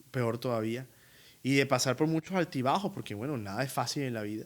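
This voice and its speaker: Medium-pitched male voice in a strong Colombian Caribbean accent. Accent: costeño Colombian Spanish, strong. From Colombian Caribbean coast, Barranquilla. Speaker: opera tenor. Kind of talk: interview. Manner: animated.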